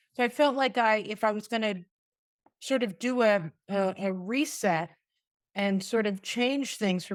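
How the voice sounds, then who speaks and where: Lively intonation over a very clean recording with a silent background. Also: woman. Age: 60s. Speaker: retired special education teacher. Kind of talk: podcast interview. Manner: halting, many fillers and restarts.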